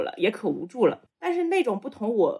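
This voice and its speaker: A woman with a Shanxi accent talks at a fairly quick pace, her pitch swinging very widely. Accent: Shanxi-accented Mandarin. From Shanxi, China. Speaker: podcast co-host. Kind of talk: casual chat.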